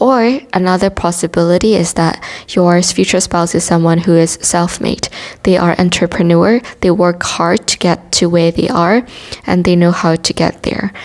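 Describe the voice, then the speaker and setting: A woman's fairly low voice with a non-native accent, fairly even intonation and very even loudness, over noticeable background noise. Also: moderate pace. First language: not English. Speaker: tarot reader. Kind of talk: tarot reading monologue.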